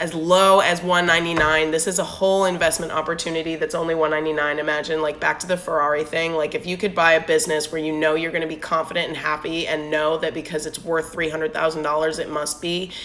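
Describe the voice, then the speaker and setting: With hardly any pauses, a woman rushes along at a very fast pace in a monotone, flat intonation against noticeable background noise. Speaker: business owner, network marketer. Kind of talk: Instagram live talk with sales pitch. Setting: Instagram live stream.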